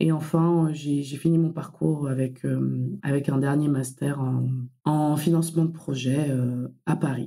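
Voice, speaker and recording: A woman speaks with a very deep, low pitch in a dark, mellow tone and monotone, flat intonation. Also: fairly slow pace. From Comoros. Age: 20s. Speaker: infrastructure finance professional. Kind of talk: podcast interview. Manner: hesitant, many fillers.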